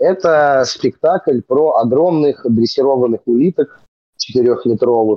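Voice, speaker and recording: A man at a fairly slow pace, an ordinary speaking voice, medium in pitch. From Moscow region, Russia (Serpukhov). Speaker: rapper and comedy theatre actor. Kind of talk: casual chat.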